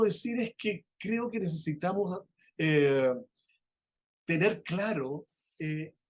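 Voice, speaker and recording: A man speaks at a very slow pace with lively intonation. He leaves long, frequent pauses. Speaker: law professor, conference speaker. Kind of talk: conference lecture. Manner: halting, many fillers.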